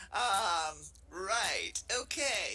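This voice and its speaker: Music playing behind a woman with lively intonation. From Brazil, Rio de Janeiro. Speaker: professor. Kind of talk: webinar presentation. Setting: virtual room streamed to YouTube.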